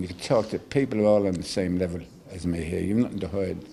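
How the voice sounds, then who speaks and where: A somewhat breathy, dark, mellow voice with an Irish accent at a fairly quick pace. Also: man. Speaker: care-home survivor. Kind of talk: TV interview testimony.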